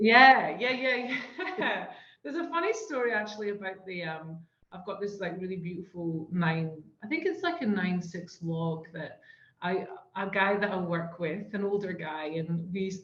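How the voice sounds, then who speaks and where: At a moderate pace, a woman speaks at a medium pitch with ordinary variation, and audible room echo surrounds her voice. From Scotland. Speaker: surf therapy program co-founder. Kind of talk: casual podcast chat. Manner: hesitant, many fillers.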